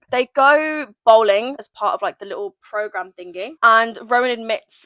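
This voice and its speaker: A woman with an English accent speaks in a high, bright, sharp, animated voice with lively intonation at a fairly slow pace. The sound is dry and close with no echo. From England. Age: 20s. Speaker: booktuber. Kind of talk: book review chat with reading aloud.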